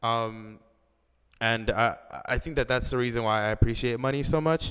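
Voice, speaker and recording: A man with an American accent has an unremarkable speaking voice at a medium pitch. His pace is moderate and his intonation fairly even. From Los Angeles County, California. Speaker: finance student and real estate analyst. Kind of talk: casual chat.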